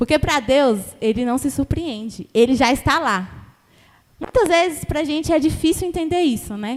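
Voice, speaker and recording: This woman has a high pitch and lively intonation. Her tone is animated and her pace moderate. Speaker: preacher. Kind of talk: sermon.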